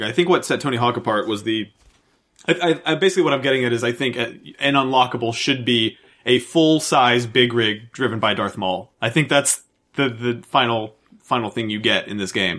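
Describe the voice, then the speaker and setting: Words come at a fairly quick pace with ordinary pitch variation. It is an unremarkable speaking voice. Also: man. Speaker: podcast host. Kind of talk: casual banter.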